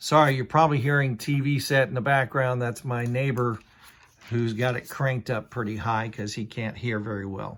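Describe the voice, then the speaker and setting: Here a man talks at a moderate pace with a medium pitch. His intonation stays fairly even. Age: 60s. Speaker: Bible reviewer. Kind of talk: product review. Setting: at home in a trailer. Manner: casual, with frequent fillers.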